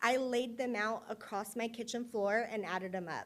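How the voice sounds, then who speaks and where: In a very clean recording with a silent background, a woman with an American accent speaks at a fairly high pitch with ordinary pitch variation. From Indiana. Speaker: patient advocate. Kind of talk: personal testimony on stage. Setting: stage with audience. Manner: fast.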